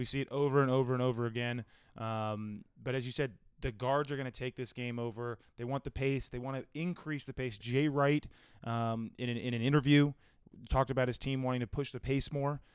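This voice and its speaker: At a fairly quick pace, the voice comes across with a dry, close sound and no echo. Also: man, medium pitch for a man. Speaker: sports betting podcast host. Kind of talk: casual chat. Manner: animated.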